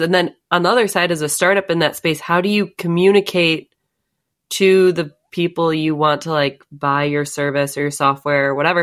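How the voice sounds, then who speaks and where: In an ordinary speaking voice, a woman with a fairly low pitch talks at a moderate pace with ordinary pitch variation. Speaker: podcast co-host, analytics manager.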